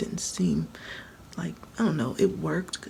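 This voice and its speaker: Against noticeable background noise, a woman speaks quietly at a moderate pace. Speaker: hair care vlogger. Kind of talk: casual tutorial vlog. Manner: low, quiet voice; conversational, repetitive.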